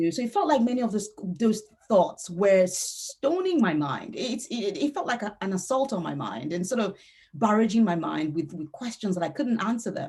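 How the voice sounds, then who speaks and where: A woman speaks at a moderate pace in a Yoruba accent, her fairly high voice making very wide pitch swings. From Nigeria (Yoruba). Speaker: novelist. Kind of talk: author interview.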